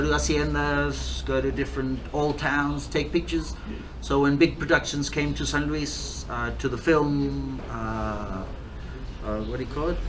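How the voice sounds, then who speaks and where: Audible room echo and noticeable background noise surround a man who speaks at a moderate pace with a slight English accent. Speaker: distiller and bar owner. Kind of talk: interview. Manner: hesitant, many fillers.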